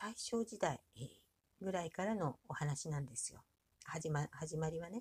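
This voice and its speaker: In a relaxed tone, a woman with a fairly low pitch and vocal fry speaks at a fairly slow pace, her pitch swinging very widely. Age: 60s. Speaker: podcaster and aspiring author. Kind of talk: casual monologue. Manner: many fillers, relaxed pace.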